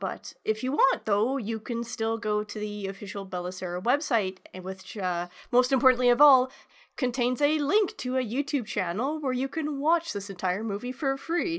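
A woman with a high pitch and lively intonation talks at a moderate pace in a very clean recording with a silent background. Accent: Canadian. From Canada. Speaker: podcast host. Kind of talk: plot summary narration; casual chat.

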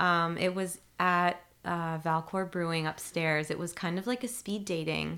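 A woman with a plain, everyday voice speaks at a fairly slow pace. Her pitch is fairly low and her intonation fairly even. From Ontario, Canada (outside Toronto). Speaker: city community engagement coordinator. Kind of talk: casual interview.

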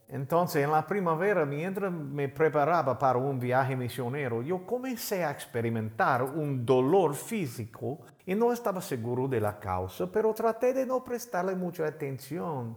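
At a fairly slow pace and with hardly any pauses, the speaker's pitch swings very widely. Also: man, fairly high pitch for a man. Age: 50s. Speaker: pastor. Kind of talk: sermon.

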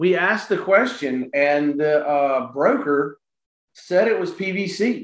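This man speaks with a Southern US accent. His pitch variation is ordinary. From South Carolina, Florence. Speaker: real estate investor. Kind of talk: casual interview. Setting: remote recording.

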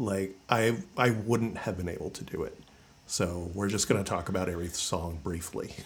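With fairly even intonation, a man speaks at a fairly low pitch amid audible room echo. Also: moderate pace. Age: 40s. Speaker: podcast host. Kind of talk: casual chat.

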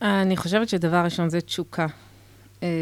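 A woman speaks at a moderate pace in a fairly low pitch, her intonation monotone and flat. The recording is very clean with a silent background. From Israel, Haredi community. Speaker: social entrepreneur. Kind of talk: radio interview. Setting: radio studio, wearing masks. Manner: halting.

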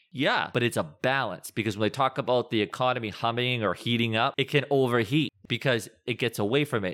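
In a plain, everyday voice with an American accent, the speaker moves at a fairly quick pace with hardly any pauses, ordinary pitch variation and very even loudness, on a very clean recording with a silent background and a dry, close sound with no echo. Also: man, medium pitch for a man. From Massachusetts. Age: 40s. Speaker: finance and lending expert. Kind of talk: casual interview.

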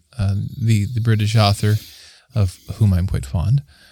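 Somewhat breathy and fairly low in pitch, a man talks at a moderate pace. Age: 30s. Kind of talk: casual faith discussion.

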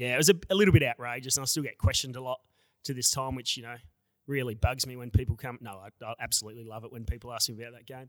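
A man with an Australian accent talks at a very fast pace and medium pitch, with ordinary pitch variation. His loudness swings widely. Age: 30s. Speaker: amateur footballer. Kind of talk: casual interview.

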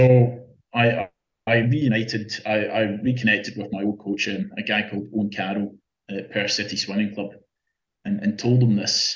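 A man speaks in a fairly low pitch at a moderate pace. His intonation is monotone and flat, with long, frequent pauses. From Scotland. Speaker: open-water swimmer. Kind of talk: casual interview. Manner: halting.

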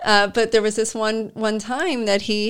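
A woman with a fairly high pitch talks at a moderate pace in a normal speaking voice. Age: 40s. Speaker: Reiki master and business owner. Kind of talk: casual interview chat.

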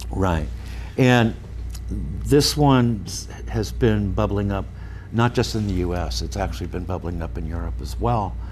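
A man's very deep, low voice with vocal fry and an American accent, fairly slow with long, frequent pauses, very wide pitch swings and audible room echo. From US West Coast, San Francisco Bay Area. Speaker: real estate research executive. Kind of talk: radio interview. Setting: studio.

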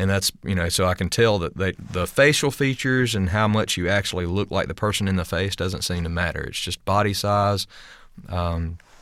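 Over a silent background in a very clean recording, a man talks at a fairly quick pace with a Southern US accent. His very deep, low pitch shows ordinary variation. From US South, rural. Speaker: stunt coordinator and fight choreographer. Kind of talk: casual interview. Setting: studio.

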